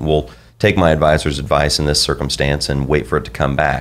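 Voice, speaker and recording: At a fairly quick clip, a man talks in a very deep, low pitch. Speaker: financial advisor. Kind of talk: radio show discussion. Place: office. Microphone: studio mic.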